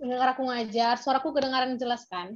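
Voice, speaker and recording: This is a woman's voice. Her pitch is high. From Medan, North Sumatra, Indonesia. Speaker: peer tutor. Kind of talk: online class tutorial. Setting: video call. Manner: casual, chatty.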